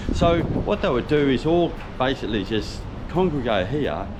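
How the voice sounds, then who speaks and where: Amid noticeable background noise and audible room echo, a man with an Australian accent speaks in very wide pitch swings. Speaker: truck driver and vlogger. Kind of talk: casual travel vlog narration. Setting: outdoors. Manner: hesitant, many fillers.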